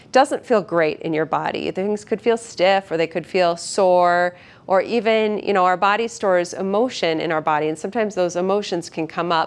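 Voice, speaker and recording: A woman talks at a moderate pace with ordinary pitch variation and hardly any pauses. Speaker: physical therapist instructor. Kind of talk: tutorial. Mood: calm, gentle, reassuring. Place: gym. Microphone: lapel.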